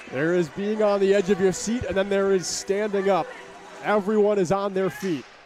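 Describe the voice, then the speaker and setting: Noticeable background noise runs under the recording. A man speaks at a high pitch and a fairly quick pace. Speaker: sports broadcaster. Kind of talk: ice hockey play-by-play. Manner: energetic, clear.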